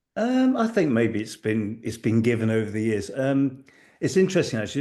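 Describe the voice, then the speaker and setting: Against a quiet background, a man with a dark, mellow tone talks fairly quickly at a medium pitch with lively intonation. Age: 60s. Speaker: ultra-marathon coach. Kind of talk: podcast interview. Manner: halting.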